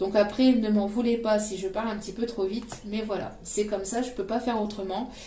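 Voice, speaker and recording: A woman with a fairly high pitch talks at a fairly quick pace with hardly any pauses, her intonation monotone and flat. Noticeable background noise and audible room echo are present. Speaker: tarot card reader. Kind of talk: psychic tarot reading. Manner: hesitant with many fillers.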